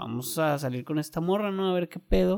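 A man speaks with ordinary pitch variation. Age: 20s. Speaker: podcaster. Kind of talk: personal monologue. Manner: casual, filler-heavy.

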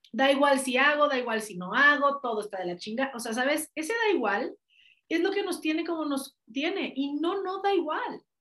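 A woman speaks with a Mexican accent in a high, energetic tone. Her pitch swings very widely. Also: moderate pace. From Mexico. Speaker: life coach. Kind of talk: interview.

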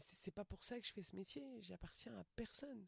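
A woman of medium pitch speaks with vocal fry, recorded with a dry, close sound and no echo. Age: 40s. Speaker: stand-up comedian. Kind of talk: casual interview chat.

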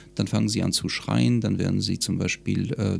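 At a moderate pace, a man talks in a fairly low pitch with vocal fry. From France (Lyon), moved to Munich at 13-14. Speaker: psychologist and stress coach. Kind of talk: interview conversation.

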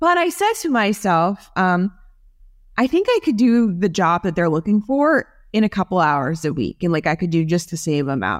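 Recorded very cleanly against a silent background, a woman with an American accent speaks in a plain, everyday voice at a medium pitch and a moderate pace. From New Jersey. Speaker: tech executive and company founder. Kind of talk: casual interview.

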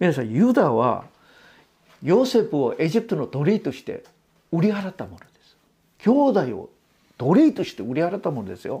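Pauses arrive often and last long. Otherwise the tempo is moderate. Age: 60s. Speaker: pastor. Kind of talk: sermon. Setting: church.

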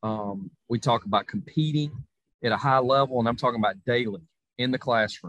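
Speaking with a Southern US accent, a man keeps a fairly quick pace. His pitch is medium, with ordinary variation. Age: 40s. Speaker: college football coach. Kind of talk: interview.

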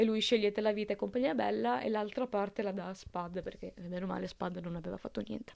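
A woman's medium-pitched voice with vocal fry and lively intonation, very fast and with hardly any pauses. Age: 20s. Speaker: film podcaster. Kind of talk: casual monologue. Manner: halting.

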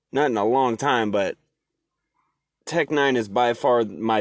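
An unremarkable speaking voice from a man with an American accent, medium pitch and fairly even intonation, over a quiet background. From Oregon. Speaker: podcast host and HVAC tech. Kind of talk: casual chat. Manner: casual, rambling with fillers.

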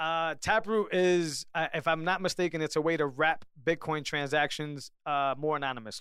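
On a very clean recording with a silent background, a man speaks loudly in a bright, sharp tone at a fairly high pitch. His moderate pace has hardly any pauses, and his pitch varies in an ordinary way. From Puerto Rican background. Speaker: podcast host. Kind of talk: casual chat.

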